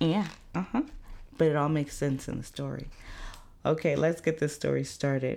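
A woman's very deep, low voice, dark and mellow in tone with vocal fry, lively in intonation, at a moderate pace with long, frequent pauses. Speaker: podcast host, mother. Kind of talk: casual monologue. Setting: at home.

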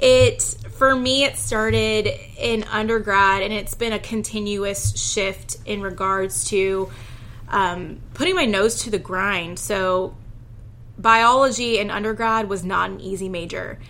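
A woman with an American accent and an unremarkable speaking voice speaks at a medium pitch, fairly slowly, with fairly even intonation. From Houston, Texas. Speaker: lawyer. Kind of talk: interview.

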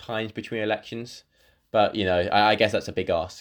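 At a moderate pace, a man's voice holds a medium pitch. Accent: British. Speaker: podcast host. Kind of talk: educational panel discussion.

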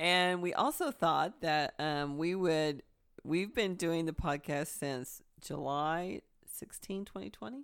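A woman's fairly low voice with lively intonation at a very slow pace, on a very clean recording against a silent background. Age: 60s. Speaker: podcast co-host. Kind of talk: casual chat.

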